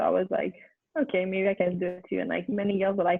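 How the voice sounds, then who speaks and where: Speaking at a very fast pace with a Quebec accent, a woman keeps her intonation fairly even. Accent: Québécois French accent in English. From Quebec City, Canada. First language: French. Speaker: former college soccer player. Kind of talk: interview. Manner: halting, many fillers.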